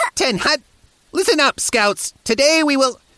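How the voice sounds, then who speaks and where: Someone uses a put-on character voice at a high pitch and a moderate pace. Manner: grumpy, barking, breaking into laughter.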